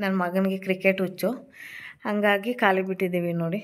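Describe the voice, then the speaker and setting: This voice belongs to a woman. It sits at a medium pitch. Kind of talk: cooking and home vlog. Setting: at home. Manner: casual, chatty.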